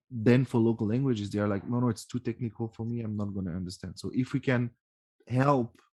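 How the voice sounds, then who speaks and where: A man with a French accent at a fairly quick pace, with ordinary pitch variation. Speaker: podcast host. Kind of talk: casual interview chat. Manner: halting.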